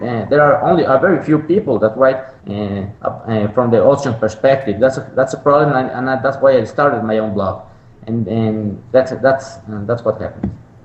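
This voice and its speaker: Noticeable background noise behind a medium-pitched male voice, moderate in pace, with ordinary pitch variation. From Mexico. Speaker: economist. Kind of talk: interview. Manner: halting, many repetitions and fillers.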